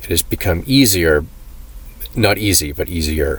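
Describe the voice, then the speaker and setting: This man's voice sits very deep and low. He talks at a fairly slow pace. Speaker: vlogger telling personal health story. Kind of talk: personal testimony monologue. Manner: halting, many fillers; restricted mouth movement.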